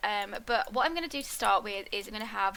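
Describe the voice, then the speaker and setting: Noticeable background noise accompanies a woman with a fairly high pitch and ordinary pitch variation. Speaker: gaming YouTuber. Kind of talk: let's play commentary. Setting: home recording. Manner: soft-spoken.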